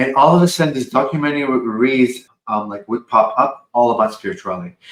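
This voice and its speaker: The speaker sounds animated and talks at a very fast pace. The pitch moves in an ordinary way. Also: man, medium pitch for a man. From Lebanon, moved to US at fifteen. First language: Arabic and French. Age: 40s. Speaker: spiritual channeler. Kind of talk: podcast interview.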